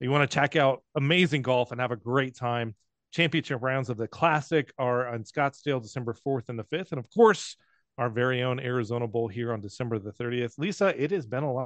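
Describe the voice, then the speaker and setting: The speech comes at a fairly quick pace in an ordinary speaking voice with ordinary pitch variation. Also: man, medium pitch for a man. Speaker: podcast host. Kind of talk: casual chat.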